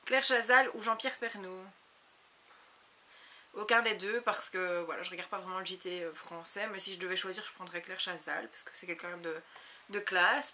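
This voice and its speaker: A woman with an ordinary speaking voice, medium in pitch, at a moderate pace, with ordinary pitch variation. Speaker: beauty YouTuber. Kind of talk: casual Q&A vlog. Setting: home video recorded on a compact camera.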